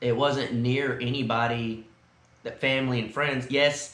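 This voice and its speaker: An American accent, a fairly slow pace and fairly even intonation, with audible room echo. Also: man. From South Texas. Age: 30s. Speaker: vlogger. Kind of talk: casual chat. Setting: indoors at a friend's house.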